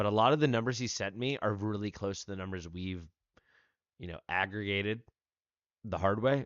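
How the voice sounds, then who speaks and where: Talking at a fairly quick pace, a man with an American accent uses a fairly low pitch and ordinary pitch variation, breaking his speech with long, frequent pauses. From United States. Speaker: gaming streamer. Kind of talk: live stream chat.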